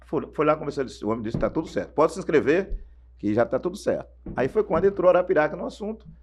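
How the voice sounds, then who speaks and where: A man speaks at a very fast pace in a fairly high pitch, with vocal fry. His pitch swings very widely. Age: 60s. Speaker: former radio sports narrator. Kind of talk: interview storytelling.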